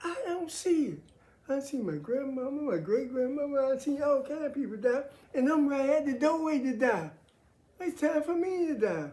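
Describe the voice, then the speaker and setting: The room echo is audible. A woman speaks with a high pitch. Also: ordinary pitch variation, moderate pace. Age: 70s. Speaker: military veteran sharing faith views. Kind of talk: casual monologue on faith and politics.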